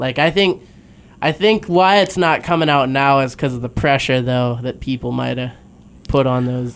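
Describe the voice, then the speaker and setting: The speaker uses an ordinary speaking voice with ordinary pitch variation. The delivery holds a moderate pace. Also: man, medium pitch for a man. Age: 20s. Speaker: sports podcast co-host. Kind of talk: casual chat. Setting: studio.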